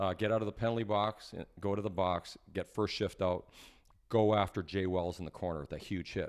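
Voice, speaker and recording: A man talks at a moderate pace with a Canadian accent. His pitch is fairly low, and the background is quiet. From Alberta, Canada (Edmonton). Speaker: former hockey player and broadcaster. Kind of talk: interview storytelling. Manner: animated.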